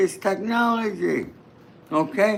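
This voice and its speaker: A man speaks with a New York accent at a high pitch. His pace is very slow. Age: 80s+. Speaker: true crime commentator. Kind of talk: livestream commentary.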